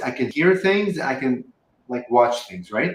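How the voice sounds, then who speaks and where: A man with a Lebanese accent, lively in intonation, at a moderate pace. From Lebanon. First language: Arabic. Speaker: spiritual channeler. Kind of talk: interview. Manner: many ums and likes as fillers.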